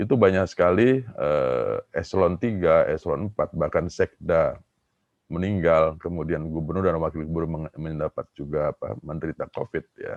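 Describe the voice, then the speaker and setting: A man with an Indonesian accent speaks at a fairly quick pace. The sound is dry and close, with no echo. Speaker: professor. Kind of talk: conference Q&A answer. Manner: halting, many fillers.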